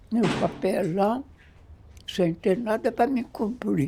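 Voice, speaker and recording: A woman speaking at a very slow pace with lively intonation, music in the background. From Minas Gerais, Brazil. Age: 80s+. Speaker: documentary subject. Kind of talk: documentary interview answer.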